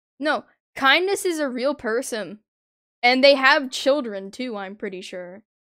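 A woman with a high pitch uses a raised, projected voice with a bright, sharp tone, very wide pitch swings and big swings in loudness at a fairly slow pace. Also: very clean recording, silent background. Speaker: gaming streamer. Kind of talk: livestream commentary.

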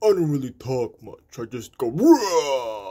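This is a put-on character voice with a low-to-middle pitch. It moves at a fairly slow pace. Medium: voice reel. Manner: growling, roaring.

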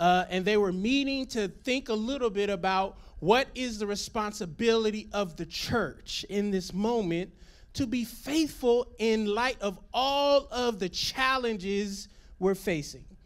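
At a fairly slow pace, a man talks in a high voice. The background stays quiet. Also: ordinary pitch variation. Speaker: pastor. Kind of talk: sermon. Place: stage. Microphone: handheld.

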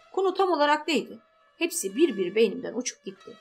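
With music in the background, a woman speaks at a fairly quick pace with very wide pitch swings. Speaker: audiobook narrator. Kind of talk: audiobook novel reading.

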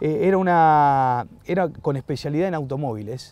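With lively intonation and a fairly high pitch, a man speaks in a dry recording with no echo. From Buenos Aires, Argentina; Argentina. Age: 40s. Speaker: sports journalist. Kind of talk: casual chat. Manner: halting, frequent repetitions. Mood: warm, nostalgic. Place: garden. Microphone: lapel.

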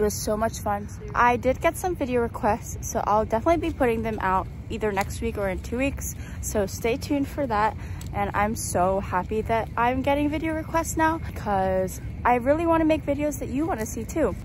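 A woman at a fairly quick pace, with noticeable background noise and a dry sound with no echo. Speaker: vlogger. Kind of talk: casual vlog chat. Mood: warm, grateful, slightly overwhelmed. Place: street. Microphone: phone near.

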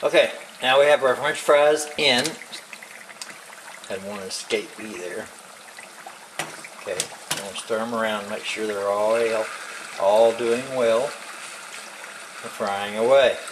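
A man at a fairly slow pace, with long, frequent pauses, ordinary pitch variation and big swings in loudness, over noticeable background noise. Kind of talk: tutorial. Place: kitchen. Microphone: phone near.

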